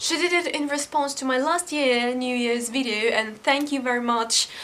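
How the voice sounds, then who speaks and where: A high-pitched woman over noticeable background noise. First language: not English. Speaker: YouTuber. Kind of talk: casual vlog. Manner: halting.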